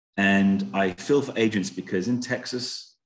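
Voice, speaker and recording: This voice belongs to a man. He speaks with a British accent. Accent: British, noticeable to US listeners. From UK. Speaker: home warranty sales representative. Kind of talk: sales presentation to real estate agents. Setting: video call.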